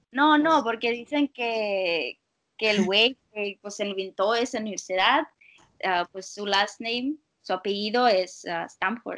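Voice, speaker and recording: A woman talks at a very slow pace in a fairly high pitch with ordinary pitch variation. The sound is dry and close with no echo, against a quiet background. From Russia. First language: Russian (speaking Spanish). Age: 20s. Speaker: university student. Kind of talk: casual chat.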